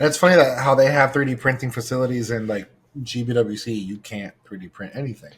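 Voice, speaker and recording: At a very fast pace, a somewhat breathy man with a medium pitch shows ordinary pitch variation and big swings in loudness. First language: not English. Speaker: podcast panelist. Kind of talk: casual chat.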